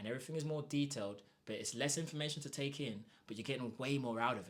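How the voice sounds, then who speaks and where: A man speaks in an animated tone at a very fast pace with ordinary pitch variation. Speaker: Spanish teacher. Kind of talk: sales pitch.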